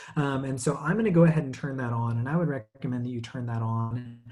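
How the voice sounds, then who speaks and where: Lively intonation runs through a man's medium-pitched voice. He speaks at a fairly quick pace and sounds somewhat breathy. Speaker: webinar presenter. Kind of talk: tutorial. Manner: many fillers and hesitations.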